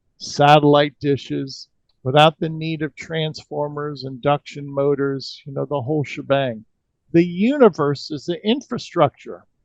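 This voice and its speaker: A man with a normal speaking voice talks at a fairly slow pace, his pitch fairly high and its movement ordinary. The sound is dry and close, with no echo. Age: 60s. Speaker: energy healing practitioner. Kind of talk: interview.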